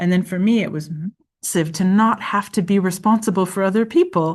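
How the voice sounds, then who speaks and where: Against a quiet background, a woman talks at a fairly quick pace. Her pitch is medium and varies in an ordinary way. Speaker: lecturer. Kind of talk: online workshop facilitation. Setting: video call. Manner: halting.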